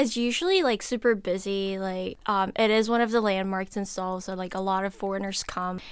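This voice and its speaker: Noticeable background noise sits behind a woman with a medium pitch. She talks at a fairly quick pace with fairly even intonation. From South Korea. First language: Korean. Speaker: college student. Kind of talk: casual chat.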